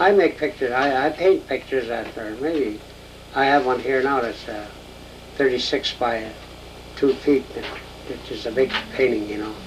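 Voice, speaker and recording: With an American accent, this speaker moves at a moderate pace, leaving long, frequent pauses, with big swings in loudness and noticeable background noise. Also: man, medium pitch for a man, ordinary pitch variation. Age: 70s. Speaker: painter. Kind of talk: interview. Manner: halting.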